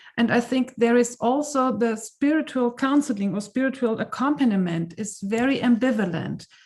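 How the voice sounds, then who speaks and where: Moderate pace, hardly any pauses, ordinary pitch variation, with a German accent. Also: woman, high pitch for a woman. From Germany. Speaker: conference participant asking question. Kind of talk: audience question. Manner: halting.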